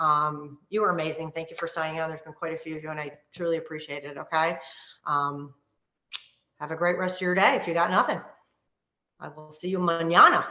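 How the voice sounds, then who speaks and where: A woman's fairly low voice at a fairly quick pace, with long, frequent pauses and big swings in loudness. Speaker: wellness coach. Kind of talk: live online workshop. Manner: fast; animated.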